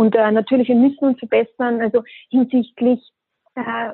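Moderate pace and flat, monotone intonation from a woman with a fairly high voice. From Austria. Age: 20s. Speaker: hospitality brand ambassador. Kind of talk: podcast interview.

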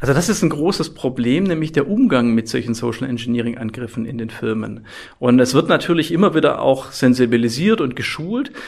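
A man with a slight Swabian accent speaks at a fairly quick pace, his medium pitch carried by lively intonation. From Swabia, southwest Germany. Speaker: IT security professor. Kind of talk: podcast interview.

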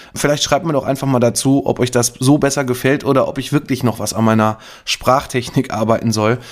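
Moving at a fairly quick pace, a man talks at a medium pitch with fairly even intonation. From Lower Rhine region, western Germany. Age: 40s. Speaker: insurance broker, podcast host. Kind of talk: solo podcast monologue, advice. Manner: unscripted, free-speaking with filler words.

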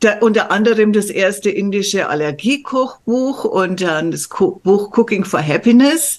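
A woman talks in a normal speaking voice at a medium pitch. Her intonation is lively and her pace fairly slow. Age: 60s. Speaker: medical journalist and coach. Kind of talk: casual chat.

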